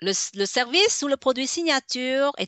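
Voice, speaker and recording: A woman's high-pitched voice at a very slow pace, with very wide pitch swings. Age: 60s. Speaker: business consultant. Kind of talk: radio interview. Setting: web radio. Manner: halting, many fillers.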